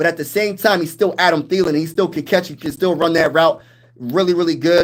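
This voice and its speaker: Speaking loudly and at a fairly quick pace, a man with an American accent uses a high pitch and an animated tone. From Pennsylvania, US. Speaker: sports YouTuber, military veteran. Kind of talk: live stream chat.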